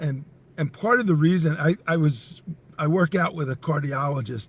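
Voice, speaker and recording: A slightly breathy man's voice, fairly high-pitched, with normal pitch movement at a moderate pace. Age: 60s. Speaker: entrepreneur and company CEO. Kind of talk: podcast interview.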